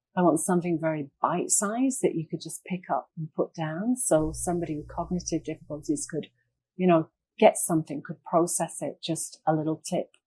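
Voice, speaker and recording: A woman with an English accent talks at a fairly quick pace, her fairly low pitch carrying a dark, mellow tone and some breathiness. Her loudness swings widely, and the sound is dry and close with no echo. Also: ordinary pitch variation. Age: 60s. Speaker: retired occupational therapist. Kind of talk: interview.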